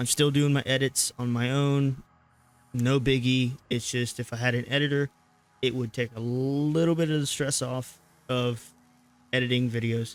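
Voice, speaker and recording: A man pauses long and often as he speaks with fairly even intonation. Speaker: gaming streamer. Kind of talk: gameplay commentary outro. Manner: monotone; casual, hesitant with fillers.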